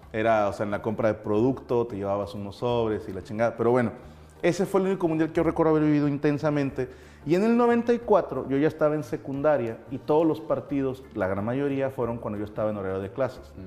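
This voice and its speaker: Very fast, lively speech in a dark, mellow tone with a Mexican accent. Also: man, medium pitch for a man. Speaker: comedian and show host. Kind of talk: casual chat.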